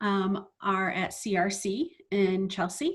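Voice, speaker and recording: A woman with a medium-pitched, somewhat breathy voice speaks with ordinary pitch variation. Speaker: chief financial officer. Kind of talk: Q&A session.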